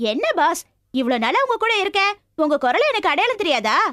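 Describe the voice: This is a put-on character voice with a fairly bright tone and big pitch swings. It moves at a fairly quick pace. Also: woman, extremely high pitch for a woman.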